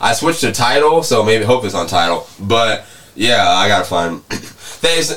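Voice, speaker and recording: Over noticeable background noise, a man with a medium pitch speaks at a fairly slow pace using very wide pitch swings. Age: 20s. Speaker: podcast host. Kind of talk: casual chat.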